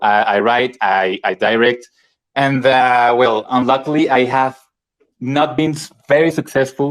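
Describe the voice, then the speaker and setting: A man with a Spanish accent at a fairly slow pace. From Colombia. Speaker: independent filmmaker. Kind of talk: casual chat. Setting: live online audio room. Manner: halting.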